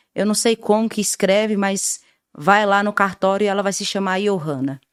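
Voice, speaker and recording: Recorded very cleanly against a silent background with a dry, close sound and no echo, a woman speaks at a medium pitch and a moderate pace. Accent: northeastern Brazilian. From Brazilian Northeast, rural Paraíba (Queimadas). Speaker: radio communicator and social activist. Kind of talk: interview.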